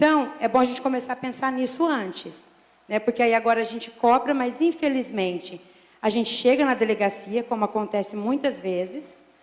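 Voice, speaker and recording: Someone speaks at a moderate pace with ordinary pitch variation over noticeable background noise. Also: woman, high pitch for a woman. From interior of São Paulo state, Brazil. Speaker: military police sergeant. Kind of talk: public hearing statement. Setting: city council public hearing. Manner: informal, conversational.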